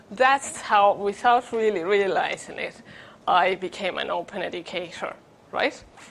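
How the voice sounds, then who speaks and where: Here is a woman with a Spanish accent. Her pitch is medium. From Spain. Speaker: education researcher; conference presenter. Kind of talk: conference presentation. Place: hall.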